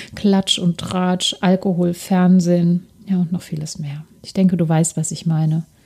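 A woman speaks in a fairly low pitch with flat, monotone intonation. Her pace is fairly slow. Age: 40s. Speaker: lifestyle podcast host. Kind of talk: solo podcast monologue, personal testimony and coaching.

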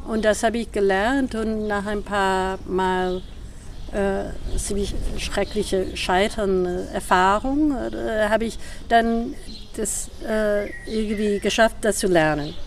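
Speaking very slowly in an English accent, a woman uses a medium pitch and ordinary pitch variation. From US Northeast (New York, Boston). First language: English (speaking German). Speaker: performance artist and choreographer. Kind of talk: casual interview. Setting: outdoors. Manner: halting, searching for words.

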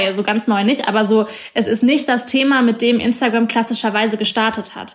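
Moving at a fairly quick pace, a woman with a fairly high pitch talks in an ordinary speaking voice with fairly even intonation. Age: 20s. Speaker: journalist. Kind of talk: interview.

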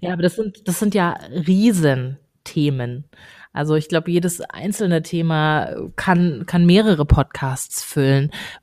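Her tone is dark and mellow, at a fairly low pitch for a woman with ordinary pitch variation. She talks at a fairly slow pace in a very clean recording with a silent background. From Baden-Württemberg, small town. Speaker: podcast co-host, communications manager. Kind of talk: casual chat. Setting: office.

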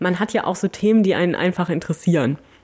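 The woman's voice is dark and mellow in tone and medium in pitch. Her intonation stays fairly even. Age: 40s. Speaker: podcast host, museum volunteer coordinator. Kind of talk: casual Q&A chat.

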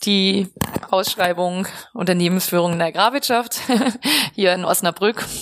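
A woman's medium-pitched voice at a moderate pace, with fairly even intonation and long, frequent pauses. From Westphalia, Germany (Lippstadt). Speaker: professor of agricultural business. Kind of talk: interview. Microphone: poor recording quality.

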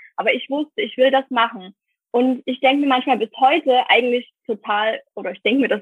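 The woman's high voice carries ordinary pitch variation. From Saxony, Germany. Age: 20s. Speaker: virtual assistant. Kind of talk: casual interview.

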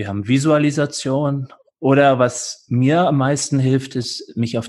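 A somewhat breathy man's voice at a medium pitch. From California, USA. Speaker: yoga teacher. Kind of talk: interview; guided meditation instructions.

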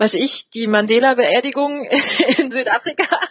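A woman speaks in a high voice with an animated tone. Her pitch varies in an ordinary way. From eastern Germany, Spreewald (Lübben, Brandenburg). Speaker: sign language interpreter. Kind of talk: interview. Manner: animated, with many fillers.

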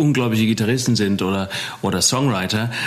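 A man at a fairly quick pace with fairly even intonation, amid noticeable background noise and audible room echo. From Germany, Taunus (Hesse). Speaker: rock musician. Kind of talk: casual interview chat.

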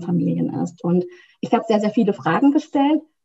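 A woman speaks at a fairly quick pace with medium pitch. It is a normal speaking voice. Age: 30s. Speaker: couples coach. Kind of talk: interview.

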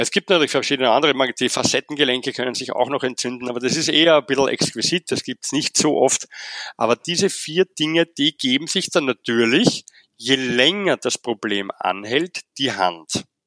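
This man has a bright, sharp tone and a medium pitch, with lively intonation and a Viennese accent. He talks at a moderate pace, and the sound is dry and close with no echo. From Vienna, Austria. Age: 40s. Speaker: physiotherapist. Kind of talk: interview.

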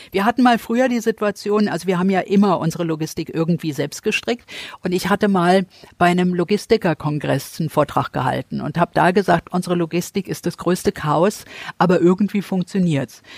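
A woman with an unremarkable speaking voice, fairly quick in pace with ordinary pitch variation, in a dry, close sound with no echo. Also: fairly low pitch for a woman. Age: 60s. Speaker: charity founder and entrepreneur. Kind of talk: interview.

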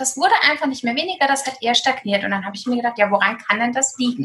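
Her intonation is lively. The woman's pitch sits high. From Germany, eastern Hesse. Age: 30s. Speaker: food blogger and nutritionist. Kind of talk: casual interview.

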